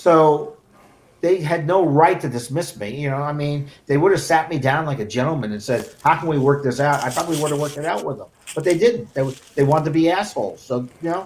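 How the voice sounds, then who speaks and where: This man has an ordinary speaking voice, fairly high in pitch with ordinary pitch variation. He talks at a fairly quick pace. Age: 60s. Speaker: sports broadcast technical director. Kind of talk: casual chat.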